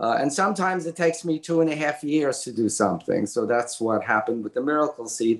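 A man's fairly high voice in a Brooklyn accent, very fast with hardly any pauses and lively intonation. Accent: Brooklyn New York. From Brooklyn, New York. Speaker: graphic novel author. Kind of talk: casual interview. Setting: remote call.

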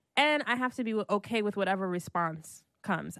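Over a quiet background, a woman with an American accent speaks at a moderate pace in a plain, everyday voice of medium pitch. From Brooklyn, New York (Haitian family). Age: 30s. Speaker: hip hop documentary producer. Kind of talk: casual interview.

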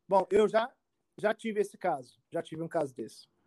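Recorded dry and close with no echo, a man talks in an animated tone at a high pitch with ordinary pitch variation. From Brazil, Rio de Janeiro (Tijuca). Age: 40s. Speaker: immigration lawyer. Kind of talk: casual interview.

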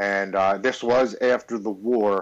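With an American accent, a man speaks in an unremarkable speaking voice at medium pitch, his intonation fairly even. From Baltimore, Maryland, US. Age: 40s. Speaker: military veteran in recovery. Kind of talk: testimony.

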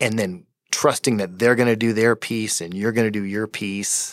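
A man with an unremarkable speaking voice, fairly low pitch and an American accent, at a moderate pace in a dry, close sound with no echo. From Colorado, Fort Collins. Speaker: tech company co-founder. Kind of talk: interview.

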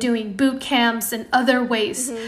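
Audible room echo surrounds a woman with a fairly high voice who speaks at a moderate pace. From Indonesia. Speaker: product designer. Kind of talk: casual interview.

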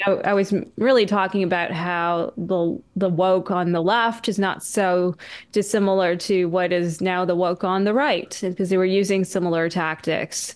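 A woman speaks with a Canadian accent at medium pitch and a moderate pace, her intonation fairly even. Her loudness stays very even in a very clean recording with a silent background. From Canada. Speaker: journalist and author. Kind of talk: casual chat. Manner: soft-spoken; hesitant, qualifying.

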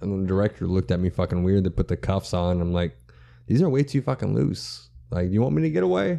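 Against a quiet background, a man with an American accent talks very fast in a very deep, low voice. His tone is dark and mellow, and his intonation is lively. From central Texas. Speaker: comedian. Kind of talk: casual chat.

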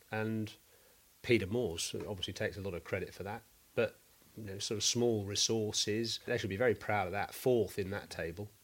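A man with an unremarkable speaking voice talks fairly quickly at a fairly low pitch with fairly even intonation, in a very clean recording with a silent background. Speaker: cricket podcast host and former pro cricketer. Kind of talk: casual analytical chat.

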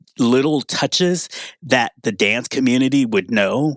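A man with a normal speaking voice at a medium pitch comes through a dry, close sound with no echo, on a very clean recording with a silent background. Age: 50s. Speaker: music writer. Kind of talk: casual chat.

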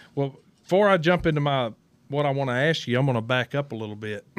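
In a Southern US accent, a man speaks at a medium pitch with ordinary pitch variation, recorded dry and close with no echo, very clean against a silent background. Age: 50s. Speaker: podcast co-host, racing team owner. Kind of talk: casual chat. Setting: studio.

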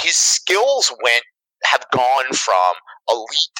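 A man's voice, dry and close with no echo. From Canada. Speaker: fantasy baseball analyst. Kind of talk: casual chat.

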